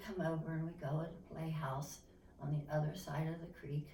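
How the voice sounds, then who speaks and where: With an Appalachian accent, a woman speaks at a moderate pace in a fairly low, flat monotone, with audible room echo and noticeable background noise. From eastern Kentucky coal country. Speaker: interviewee. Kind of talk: oral history interview. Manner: halting.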